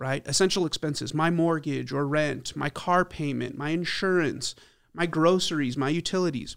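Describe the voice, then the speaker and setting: A man's fairly high voice with an American accent, a plain, everyday voice, at a moderate pace with fairly even intonation, in a very clean recording against a silent background. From El Paso, Texas. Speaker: financial advisor. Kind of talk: interview.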